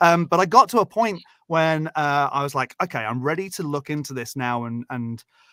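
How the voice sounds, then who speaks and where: A man with a British accent speaks at a moderate pace in a fairly high, bright, sharp voice with lively intonation. The sound is dry and close with no echo, in a very clean recording with a silent background. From Britain. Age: 30s. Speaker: guest and stand-in co-host on call-in show. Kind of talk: casual chat. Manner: halting, many fillers.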